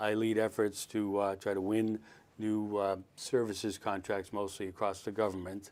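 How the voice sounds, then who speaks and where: A man with an American accent speaks at a fairly quick pace in a fairly low pitch, his intonation monotone and flat. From Boston area, Massachusetts (Dorchester, Newton, Westwood). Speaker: political candidate and army veteran. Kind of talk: podcast interview. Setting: studio.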